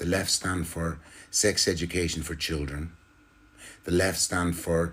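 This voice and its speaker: A man with an Irish accent, a very deep, low voice, a somewhat breathy quality and a moderate pace. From Ireland. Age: 60s. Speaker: political commentator. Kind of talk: political monologue. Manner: animated.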